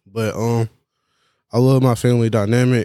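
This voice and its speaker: Recorded very cleanly against a silent background, with a dry, close sound and no echo, a man speaks in a dark, mellow tone with monotone, flat intonation. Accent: Atlanta. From Georgia and South Carolina, US South. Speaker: music producer. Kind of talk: casual interview.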